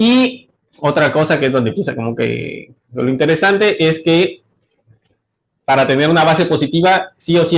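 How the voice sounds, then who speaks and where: There's lively intonation in this man's speech. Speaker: graduate student presenting research. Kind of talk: seminar talk. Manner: fast; hesitant, many fillers.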